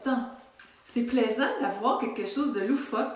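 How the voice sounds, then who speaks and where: A woman with a Quebec accent, with noticeable background noise and audible room echo. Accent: Québécois French. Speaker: wellness coach. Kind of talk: casual video talk to followers. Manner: some stuttering today.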